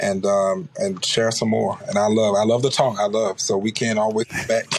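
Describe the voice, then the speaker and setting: Over noticeable background noise, a man with an American accent talks at a moderate pace with fairly low pitch and fairly even intonation. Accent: slight Oklahoma-like. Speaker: pastor and politician. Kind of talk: interview.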